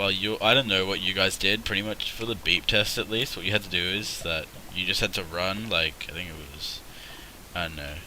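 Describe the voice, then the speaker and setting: A man with an Australian accent, very deep and low in pitch, at a fairly quick pace with ordinary pitch variation, over noticeable background noise. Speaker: gaming streamer. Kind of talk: live gameplay commentary. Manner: casual, rambling.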